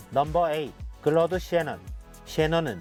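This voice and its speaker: A man is talking at a moderate speed. Background music accompanies him. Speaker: math teacher. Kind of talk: educational lecture narration.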